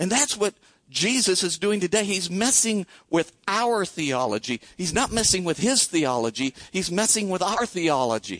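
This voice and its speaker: Speaking at a moderate pace with a Midwestern US accent, a man uses a high pitch with very wide pitch swings and very even loudness, in a dry, close sound with no echo. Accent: US Midwest. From Iowa. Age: 60s. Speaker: pastor. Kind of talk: sermon. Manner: conversational, with frequent fillers.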